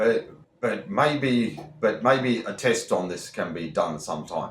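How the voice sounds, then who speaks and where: A man with an Australian accent, fairly slow pace, vocal fry and very wide pitch swings, with audible room echo. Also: medium pitch for a man. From Australia, Victoria. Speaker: YouTuber who stutters. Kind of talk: reaction video, reading aloud with commentary. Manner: repetitions and halting.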